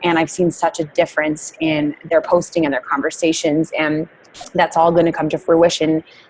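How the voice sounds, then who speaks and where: A woman with a fairly low pitch talks moderately fast in monotone, flat intonation, noticeable background noise behind her. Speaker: network marketing team leader. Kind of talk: team training call. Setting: conference call.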